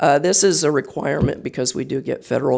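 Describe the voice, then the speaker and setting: A man's fairly high voice with vocal fry. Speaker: county staff member presenting. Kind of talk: meeting presentation. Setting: county board meeting. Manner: hesitant, many fillers.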